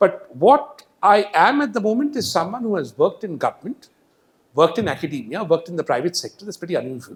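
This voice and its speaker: Here a man with a Marathi accent talks at a very fast pace in a high voice. His pitch swings very widely and his loudness shifts a lot. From India, Hyderabad. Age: 50s. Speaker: economist. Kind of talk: public lecture. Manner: animated.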